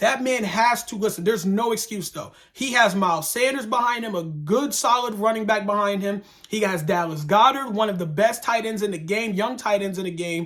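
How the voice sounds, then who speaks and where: Noticeable background noise sits behind a man talking at a fairly quick pace. His pitch is high, with ordinary variation. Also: hardly any pauses. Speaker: sports vlogger / fan commentator. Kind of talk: casual commentary vlog. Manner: fast; animated.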